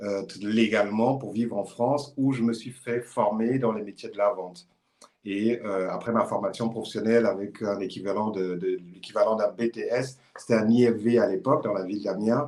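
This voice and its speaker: A man's unremarkable speaking voice at a medium pitch, with fairly even intonation and a moderate pace. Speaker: e-commerce consultant. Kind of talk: live stream conversation.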